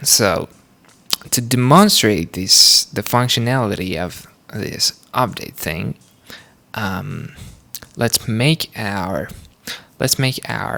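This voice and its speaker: A man speaks with lively intonation and a non-native accent. His pitch sits in the medium range. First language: not English. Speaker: programming tutorial creator. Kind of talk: tutorial. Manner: halting, many fillers.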